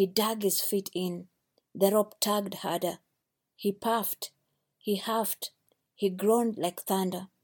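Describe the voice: Plain reading aloud comes with fairly even intonation over a quiet background.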